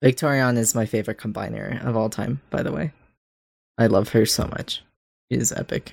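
A man's medium-pitched voice with vocal fry, fairly quick yet broken by long, frequent pauses, with fairly even intonation, dry and close with no echo in a very clean recording over a silent background. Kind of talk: casual chat.

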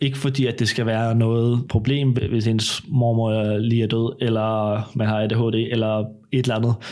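This man talks at a fairly slow pace in a medium pitch, his intonation flat and monotone. His tone is dark and mellow, and his loudness stays very even. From Denmark, Copenhagen area. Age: 20s. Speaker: baking show contestant. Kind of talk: casual chat. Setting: at home.

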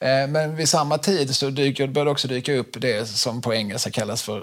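In a normal speaking voice, the speaker talks with ordinary pitch variation and hardly any pauses. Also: man. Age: 40s. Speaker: podcast host. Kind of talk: casual chat.

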